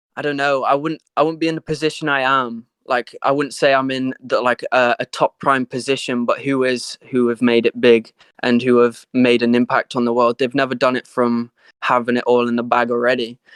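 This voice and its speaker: A man's medium-pitched voice with an American accent, fairly quick and monotone, flat in intonation, in a dry, close sound with no echo. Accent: English accent, sometimes with American twang. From northern England, Sheffield. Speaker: rapper and singer. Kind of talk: interview.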